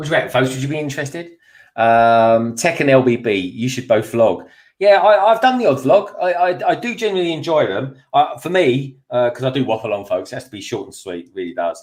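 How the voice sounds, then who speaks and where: Speaking at a fairly quick pace with a London accent, a man sounds animated, his pitch swinging very widely and his loudness rising and falling in big swings. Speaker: YouTube toy builder. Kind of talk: casual chat.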